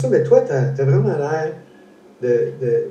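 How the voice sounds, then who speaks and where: A man's fairly high voice with ordinary pitch variation and a Quebec accent, plus audible room echo and noticeable background noise. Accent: Québécois French. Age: 60s. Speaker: interview host, foundation founder. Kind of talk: casual interview. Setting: live stream. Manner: halting, many repetitions.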